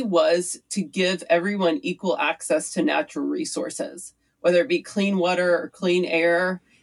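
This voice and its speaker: A woman's unremarkable speaking voice, medium in pitch, with lively intonation at a moderate pace. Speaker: city council candidate. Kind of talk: interview conversation.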